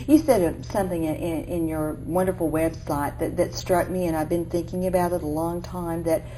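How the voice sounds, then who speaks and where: A woman with an Oklahoma accent and a very deep, low pitch at a moderate pace, amid noticeable background noise and audible room echo. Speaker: interviewer. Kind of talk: interview.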